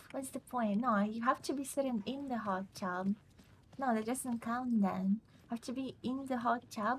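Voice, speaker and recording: A woman speaks at a very slow pace in a fairly high pitch. Her voice is somewhat breathy, with fairly even intonation. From Russia. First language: Russian. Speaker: video game streamer. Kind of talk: casual chat during live gameplay.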